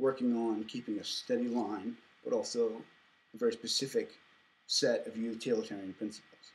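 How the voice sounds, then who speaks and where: His speech moves at a moderate pace. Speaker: anthropology student. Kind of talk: lecture. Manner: halting.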